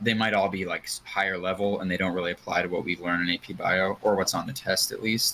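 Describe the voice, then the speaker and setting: A man speaks at a very fast pace. His voice has fairly low pitch and a bright, sharp tone. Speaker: podcast co-host. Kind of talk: casual chat.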